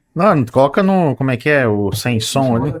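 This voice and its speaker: With music in the background, a man talks at a fairly slow pace, his pitch swinging very widely, in a dry, close sound with no echo. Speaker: podcast host. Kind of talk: podcast interview.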